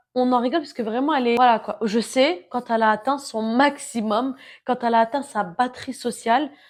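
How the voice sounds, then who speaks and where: In a very clean recording with a silent background, a woman speaks with an animated tone, a high pitch and a fairly quick pace. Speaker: self-help vlogger. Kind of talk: casual monologue. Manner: loud.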